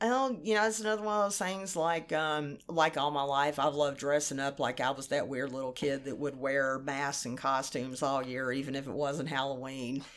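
In an American accent, a woman talks at a moderate pace with a very deep, low pitch and ordinary pitch variation. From rural Kentucky, US. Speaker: sex worker and artist. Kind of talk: casual interview chat. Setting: in person, recording in Atlanta.

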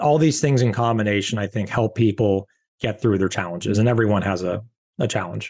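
Over a quiet background, a man with a fairly low voice speaks at a fairly quick pace. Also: ordinary pitch variation. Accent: Californian. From Southern California. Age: 40s. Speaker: beverage company founder and CEO. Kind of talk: interview.

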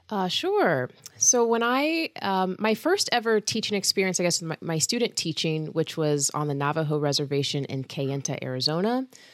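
With an American accent, a woman speaks at a fairly low pitch and a moderate pace, her pitch swinging very widely and hardly any pauses in between. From US South, Georgia. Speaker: university band conductor and professor. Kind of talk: interview.

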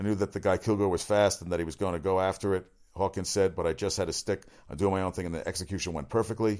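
On a very clean recording with a silent background, the speech moves at a very fast pace with fairly even intonation. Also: man, very deep, low pitch for a man. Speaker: sports talk radio host. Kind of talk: solo sports talk show monologue. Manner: fast talker; casual, opinionated.

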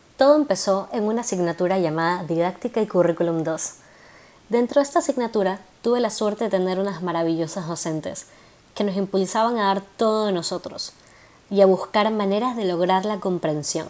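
This woman talks at a fairly quick pace. Her medium pitch shows ordinary variation. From Ecuador, Guayaquil. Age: 20s. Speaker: psychopedagogy student and podcaster. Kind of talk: monologue introduction.

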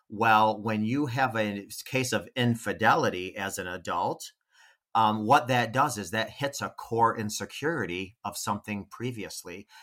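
A man's medium-pitched voice, bright and sharp in tone, at a moderate pace with ordinary pitch variation, on a very clean recording against a silent background. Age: 40s. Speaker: relationship coach. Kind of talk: casual chat.

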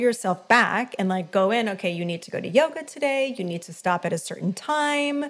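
A woman speaks at a moderate pace and medium pitch. She has an unremarkable speaking voice. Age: 50s. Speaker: life and business coach. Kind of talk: casual interview chat.

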